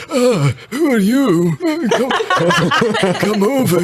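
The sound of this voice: In a put-on character voice with a high pitch, a man speaks at a very slow pace over loud background noise.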